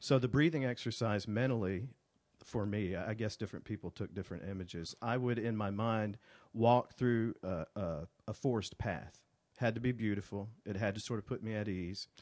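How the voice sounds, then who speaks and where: Speaking at a moderate pace with an Alabama accent, a man uses a fairly low pitch with ordinary pitch variation. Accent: Southern US (Alabama). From US South (Alabama: Birmingham, Montgomery). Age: 40s. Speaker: writer. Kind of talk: casual chat. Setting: studio.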